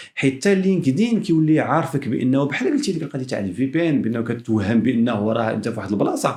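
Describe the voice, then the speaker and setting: A man speaks very fast with a Moroccan accent at a fairly high pitch. His intonation is lively and his tone dark and mellow. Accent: Moroccan Arabic with French code-switching. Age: young. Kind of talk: casual podcast conversation.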